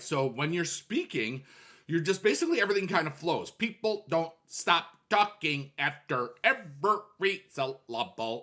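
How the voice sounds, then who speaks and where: A man performs a robotic, put-on character voice at a high pitch. He speaks at a moderate pace. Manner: choppy, clipped, staccato, syllable by syllable.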